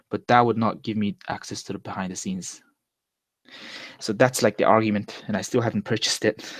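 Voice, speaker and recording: In a dry, close sound with no echo, a man with a Mongolian accent talks at a fairly quick pace in a fairly low, monotone, flat voice. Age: 20s. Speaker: vlogger. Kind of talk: casual monologue. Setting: live stream. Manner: casual, hesitant with self-corrections.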